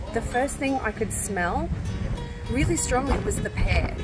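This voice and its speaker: The voice belongs to a woman. Music is clearly audible behind her. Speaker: travel vlogger. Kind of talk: casual vlog chat. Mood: relaxed, pleased. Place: garden. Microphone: phone near.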